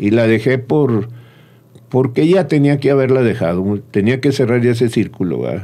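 A man at medium pitch and a fairly slow pace, in a dark, mellow tone with ordinary pitch variation. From Torreón, Mexico (Comarca Lagunera); Mexico. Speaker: restaurant owner; guest. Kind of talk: interview. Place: studio. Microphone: studio mic.

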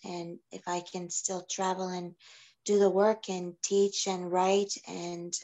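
A woman speaks with a fairly low pitch and little pitch movement. Her tone is slightly mellow.

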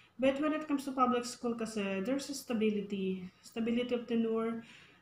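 A woman speaks in a fairly high voice with ordinary pitch variation. Her pace is moderate, and the room echo is audible. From Philippines. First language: Tagalog. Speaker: public school teacher and vlogger; teacher. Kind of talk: casual vlog mixing English and Tagalog. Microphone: phone near.

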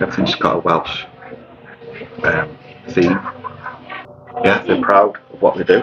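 Loud noise runs behind the recording. The voice is a man's. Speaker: food reviewer. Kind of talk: casual vlog chat. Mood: relaxed, pleased. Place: cafe. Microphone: phone near.

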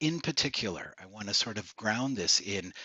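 A man's fairly low, bright, sharp voice with a slightly husky edge, lively intonation and a moderate pace.

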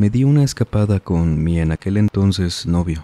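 A man with a fairly low pitch and a dark, mellow tone speaks at a fairly slow pace with ordinary pitch variation. The sound is dry and close, with no echo. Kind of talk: horror story narration, reading listener-submitted tales aloud. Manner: slow, hushed, suspenseful storytelling pace with eerie, measured delivery; formal, courteous address to the audience.

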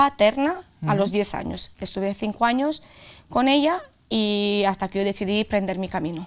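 A woman with a strong Castilla-La Mancha accent speaks at a moderate pace with ordinary pitch variation. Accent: Albacete Spanish accent, strong. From Romania. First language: Romanian (speaking Spanish). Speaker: author; interviewee. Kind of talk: interview. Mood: serious, recounting painful past. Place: studio.

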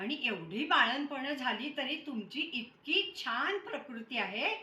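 A woman's high-pitched voice is raised and projected, swinging very widely in pitch. There is noticeable background noise. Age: 80s. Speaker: interviewer. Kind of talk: interview question. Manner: polite, respectful.

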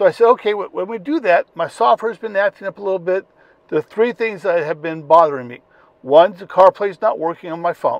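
A man's fairly quick speech in a dry sound with no echo. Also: big swings in loudness. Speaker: car owner vlogger. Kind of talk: casual vlog chat. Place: car. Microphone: lapel.

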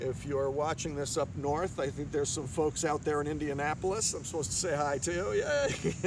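A man talks with hardly any pauses and ordinary pitch variation. The sound is dry with no echo, but there is noticeable background noise. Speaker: yoga teacher. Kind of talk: yoga class instruction. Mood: cheerful, relaxed, calm. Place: beach.

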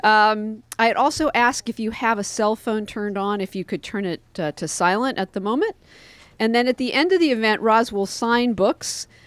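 At a moderate pace, a woman speaks with ordinary pitch variation, the sound dry with no echo. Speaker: bookstore co-owner host. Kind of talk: event introduction announcements. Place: shop. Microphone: podium.

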